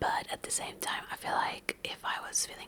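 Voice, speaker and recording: A woman whispers at a moderate pace amid noticeable background noise. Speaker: ASMR book vlogger. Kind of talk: soft-spoken ASMR book recap. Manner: soft-spoken, whispering.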